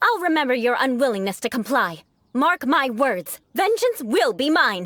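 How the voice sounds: A woman speaks at a moderate pace in a put-on character voice, high-pitched and fairly bright. Her pitch swings widely up and down.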